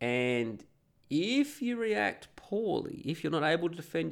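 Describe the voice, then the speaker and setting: Speaking with an Australian accent, a man uses a fairly high pitch with very wide pitch swings. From Perth, Australia. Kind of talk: casual monologue, opinionated rant. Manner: informal, sweary, rambling.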